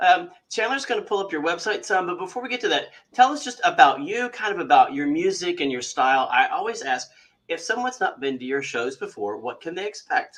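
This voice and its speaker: A man with a Kentucky accent speaks at a fairly quick pace. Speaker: magazine interviewer. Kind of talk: interview.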